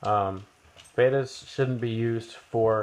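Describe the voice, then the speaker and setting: The speaker is a man with a medium pitch. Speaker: science teacher. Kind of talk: casual talk to camera. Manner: rambling, slow.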